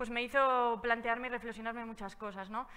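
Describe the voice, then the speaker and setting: The woman's voice is high-pitched, with fairly even intonation. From Basque Country, Spain. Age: 20s. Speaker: travel speaker, cycle traveller. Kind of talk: public talk. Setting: stage with audience, also streamed online. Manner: hesitant, many fillers.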